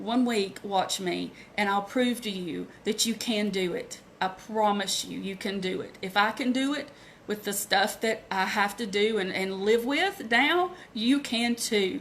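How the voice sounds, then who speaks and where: Speaking in a Southern US accent, a woman talks at a fairly slow pace with a fairly high pitch and ordinary pitch variation. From US South, Asheville North Carolina. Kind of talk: live video training, personal testimony. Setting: live Facebook video. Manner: halting.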